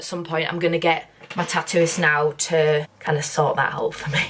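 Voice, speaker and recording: A woman talks at a moderate pace with a Northern English accent. Noticeable background noise runs underneath. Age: 20s. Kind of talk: casual talk to camera.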